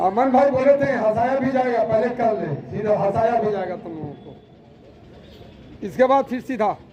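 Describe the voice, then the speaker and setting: A man with an extremely high pitch and ordinary pitch variation talks with big swings in loudness and long, frequent pauses over noticeable background noise. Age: 60s. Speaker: yoga instructor at a school. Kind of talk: live instruction to pupils.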